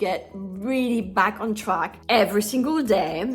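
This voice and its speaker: A woman is speaking. Noticeable background noise runs beneath her voice. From France. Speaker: nutritional therapist. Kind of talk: casual talk to camera.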